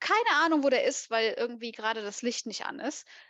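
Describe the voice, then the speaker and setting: A woman's high-pitched voice, dry and close with no echo, against a quiet background. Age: 30s. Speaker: competitive horse rider. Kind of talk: casual chat.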